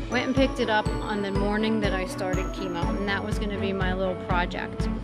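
Loud music fills the background. Over it, a woman speaks. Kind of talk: casual vlog chat. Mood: cheerful, proud. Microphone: phone near.

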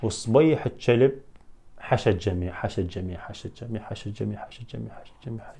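A man speaks with an Iraqi accent in a dark, mellow tone. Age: 20s. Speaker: YouTuber. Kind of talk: Q&A video. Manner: animated.

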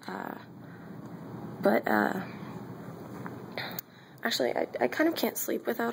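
A woman whispers her words at a fairly slow pace. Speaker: college student. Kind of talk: casual vlog apartment tour. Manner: whispered. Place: home room. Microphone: phone near.

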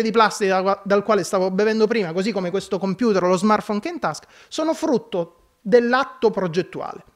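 The recording is very clean, with a silent background. A man with a high pitch speaks at a fairly quick pace. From Sicily, Scicli. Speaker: service design expert, speaker. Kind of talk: public talk. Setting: conference hall with audience.

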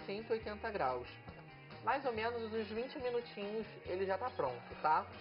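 Fairly slow speech from a woman is heard with clear music behind it. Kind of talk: cooking tutorial. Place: kitchen.

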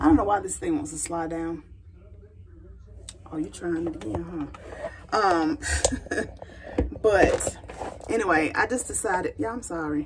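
A woman talks at a moderate pace, stopping for long, frequent pauses, with noticeable background noise around her. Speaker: vlogger. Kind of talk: casual vlog talk to camera. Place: bathroom. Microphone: phone near.

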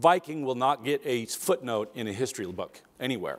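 At a moderate pace, a man is speaking. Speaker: keynote speaker. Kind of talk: keynote talk. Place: stage.

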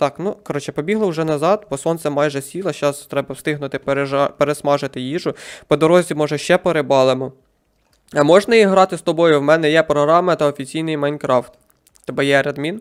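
A plain, everyday voice moves at a fairly quick pace with fairly even intonation on a very clean recording with a silent background. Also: man, fairly high pitch for a man. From Ukraine, Poltava region. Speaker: gaming streamer. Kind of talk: live game stream commentary.

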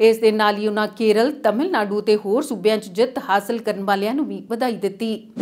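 A woman speaks at a fairly high pitch with fairly even intonation. Noticeable background noise can be heard. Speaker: news anchor. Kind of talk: newsreading, scripted TV bulletin read from a script. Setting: studio. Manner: steady, formal and even-paced, delivering headlines in a brisk, neutral newsreader tone.

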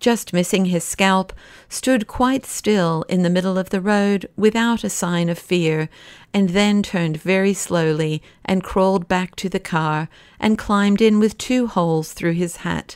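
Her tone is animated, her pitch medium for a woman and her pace fairly slow. The recording is very clean with a silent background. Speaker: audiobook narrator. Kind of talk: dramatic audiobook narration of a novel, with quoted dialogue. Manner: animated, vivid pacing that builds suspense, brisk action and mirthful dialogue.

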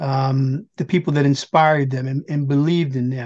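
The speech runs at a fairly quick pace against a quiet background. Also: man. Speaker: podcast host. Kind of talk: interview. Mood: polite, respectful. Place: home room. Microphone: video call.

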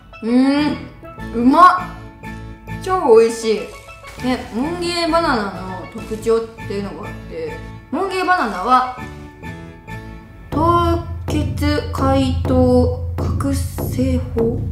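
A woman speaks at a very slow pace with long, frequent pauses. Clear music plays in the background. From Okayama, Japan. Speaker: model and TV personality. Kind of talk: casual talk to camera. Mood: cheerful, amused. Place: studio.

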